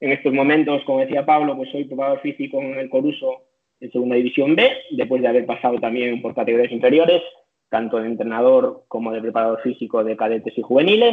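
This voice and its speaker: A man at medium pitch, very fast pace, fairly even intonation. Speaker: strength and conditioning coach. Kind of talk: interview. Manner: halting.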